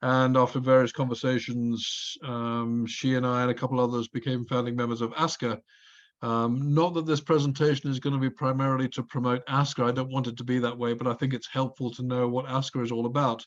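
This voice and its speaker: The speech is monotone, with flat intonation, at a fairly quick pace. The background is quiet. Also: man, medium pitch for a man. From Scotland. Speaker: grazing specialist and presenter. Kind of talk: presentation. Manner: hesitant, many fillers.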